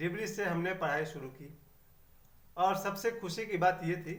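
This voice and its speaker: Audible room echo surrounds a man speaking in a high voice. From Bihar, India (Chhapra district). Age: 50s. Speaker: YouTuber. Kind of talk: personal reminiscence monologue.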